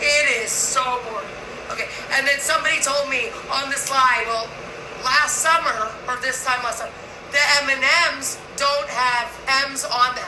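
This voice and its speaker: A woman's raised, projected voice, high-pitched and fairly even in intonation, broken by long, frequent pauses, with audible room echo and noticeable background noise. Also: moderate pace. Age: 60s. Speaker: vlogger. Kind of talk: casual monologue vlog.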